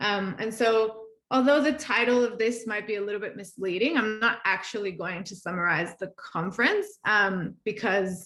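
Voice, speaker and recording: Bright and sharp in tone, a woman speaks at a fairly high pitch and a moderate pace, with ordinary pitch variation. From Ecuador and the US. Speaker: postdoctoral scientist presenting at meetup. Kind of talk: online presentation. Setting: video call. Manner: casual with many fillers.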